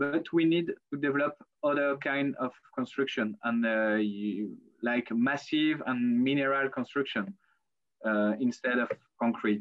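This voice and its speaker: The speech comes in a French accent. It moves at a fairly slow pace. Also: man. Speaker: architect. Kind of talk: lecture. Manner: halting.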